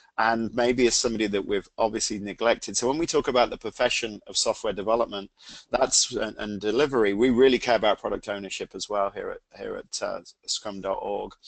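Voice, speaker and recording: With an English accent, a man speaks in a dry, close sound with no echo over a quiet background. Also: fairly quick pace. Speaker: CEO and product owner of a training organization. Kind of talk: webcast presentation.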